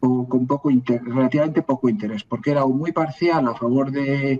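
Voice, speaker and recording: Someone talks at a moderate pace, in a dry, close sound with no echo. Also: man. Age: 60s. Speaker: historian. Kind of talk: interview. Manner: halting, with false starts and repetitions.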